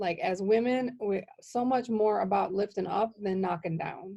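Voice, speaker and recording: A woman talks with an American accent and ordinary pitch variation. Her tone is dark and mellow. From Wisconsin, Milwaukee. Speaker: podcast host. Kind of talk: casual interview chat. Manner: animated.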